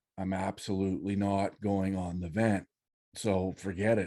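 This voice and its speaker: A man's fairly low, dark and mellow voice in a Canadian Prairie accent, at a fairly slow pace against a quiet background. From Saskatchewan, Canada. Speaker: freedom activist. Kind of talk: interview testimony. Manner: halting, many fillers.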